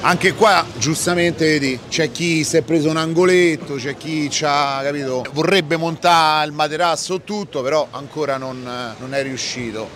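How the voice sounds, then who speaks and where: Someone with a Roman accent speaks at a moderate pace, the sound dry with no echo over light background noise. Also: man, ordinary pitch variation. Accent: Roman Italian. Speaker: YouTuber doing street reportage. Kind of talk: on-location street interviews and vlog narration. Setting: outdoors at a train station. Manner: animated, crude joking. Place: street.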